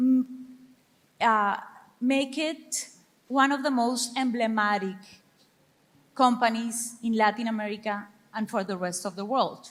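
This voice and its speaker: Speaking at a fairly slow pace, a woman with a Spanish accent keeps her fairly high pitch fairly even. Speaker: panel moderator. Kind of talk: moderated panel discussion.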